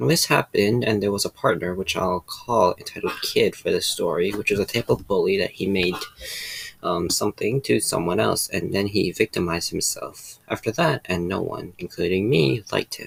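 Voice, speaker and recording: Speech comes at a moderate pace. The sound is dry and close with no echo, but background noise is noticeable. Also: man. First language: not English. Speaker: reddit story narrator. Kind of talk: reading aloud.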